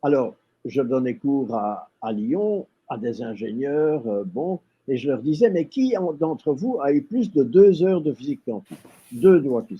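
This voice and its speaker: A fairly slow, fairly high-pitched man's voice with very wide pitch swings. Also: big swings in loudness. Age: 80s. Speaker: retired European civil servant, former priest. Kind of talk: interview.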